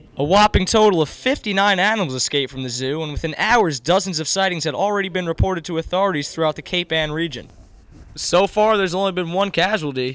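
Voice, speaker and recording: A man's high-pitched voice, very fast, with ordinary pitch variation. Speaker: spoof field reporter. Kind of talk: live on-location news report, satirical. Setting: outdoors at a park.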